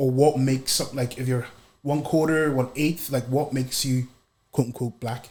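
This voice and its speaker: At a moderate pace, a man with a Northern Irish accent speaks in a monotone, flat intonation at a medium pitch. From Northern Ireland, Belfast. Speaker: podcast guest asking questions. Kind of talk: casual interview chat.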